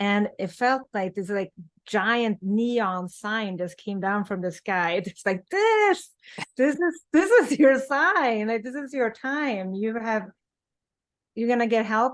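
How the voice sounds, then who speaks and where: A woman's fairly high voice with a Swedish accent, very slow and lively in intonation, against a quiet background. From Sweden. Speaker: author in addiction recovery. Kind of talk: interview.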